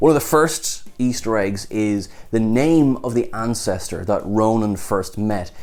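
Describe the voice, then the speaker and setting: With an Irish accent, a man talks at a moderate pace in a fairly low voice. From Ireland. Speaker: TV show reviewer. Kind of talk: video review commentary. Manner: animated. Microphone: lapel.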